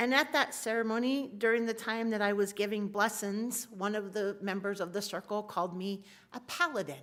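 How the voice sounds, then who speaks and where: A woman at a medium pitch and a fairly quick pace, with ordinary pitch variation and an ordinary speaking voice. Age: 60s. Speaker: activist speaker. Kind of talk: talk in a worship service.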